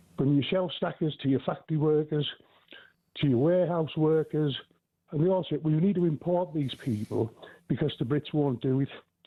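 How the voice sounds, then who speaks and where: A man with an ordinary speaking voice talks at a moderate pace. His pitch is fairly high and his loudness very even. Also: ordinary pitch variation. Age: 60s. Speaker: caller. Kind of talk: call-in radio opinion.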